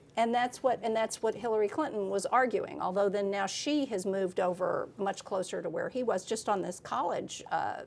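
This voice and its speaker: A woman with an American accent and an ordinary speaking voice talks at a moderate pace with hardly any pauses. Her pitch is fairly high, with ordinary variation. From Texas. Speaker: political reporter. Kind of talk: interview conversation.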